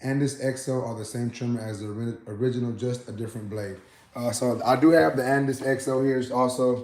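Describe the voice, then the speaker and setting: A man's medium-pitched voice with fairly even intonation and an American accent. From Texas. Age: 30s. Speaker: barber and YouTuber. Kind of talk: live stream Q and A. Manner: casual, repetitive filler.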